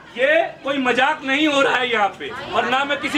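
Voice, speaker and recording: Over crowd noise in the background, a man speaks in a raised, projected voice at an extremely high pitch. His tone is animated, with ordinary pitch variation. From Delhi, India. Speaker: local resident protester. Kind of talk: street interview.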